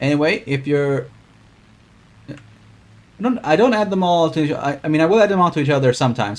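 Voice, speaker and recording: His delivery comes out at a very fast pace. The man's intonation is lively throughout. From Sweden. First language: Swedish. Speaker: streamer. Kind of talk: gameplay commentary. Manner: casual.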